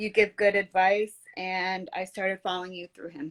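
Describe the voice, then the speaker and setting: A woman speaks at a fairly quick pace. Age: 30s. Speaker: caller. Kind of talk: casual chat. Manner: hesitant.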